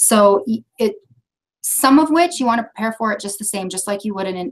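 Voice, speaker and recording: A woman is speaking. Her intonation is lively. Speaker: training presenter. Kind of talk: training lecture. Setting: video conference.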